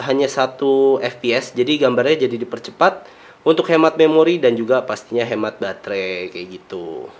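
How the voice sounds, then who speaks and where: Lively intonation colors a man's speech at a moderate pace. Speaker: car vlogger. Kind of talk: product unboxing commentary. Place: home room.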